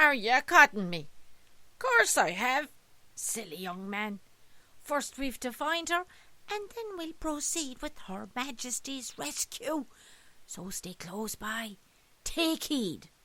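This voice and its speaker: A woman does a put-on character voice at a high pitch, speaking at a fairly slow pace with long, frequent pauses. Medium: read story.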